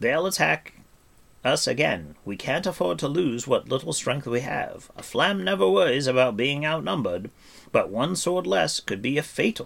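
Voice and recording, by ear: A man performs a put-on character voice with a fairly bright tone and vocal fry. His pitch is fairly high, his intonation lively, and his pace moderate.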